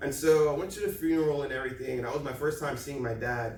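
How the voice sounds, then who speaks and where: Against noticeable background noise and audible room echo, a man talks fairly quickly in a fairly high pitch. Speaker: motivational speaker. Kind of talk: presentation. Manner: loud.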